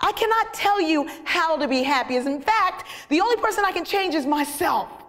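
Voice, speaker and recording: An animated woman with an extremely high pitch and lively intonation, amid audible room echo and noticeable background noise. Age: 50s. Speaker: sociologist and motivational speaker. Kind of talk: humorous inspirational talk. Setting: stage with audience.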